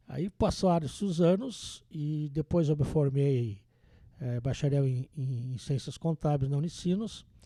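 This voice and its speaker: This man's fairly high voice has a dark, mellow tone and is somewhat breathy, moving at a fairly slow pace with ordinary pitch variation on a very clean recording with a silent background. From southern Brazil, interior of Rio Grande do Sul (Vacaria). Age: 60s. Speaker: accountant and auditor. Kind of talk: podcast interview.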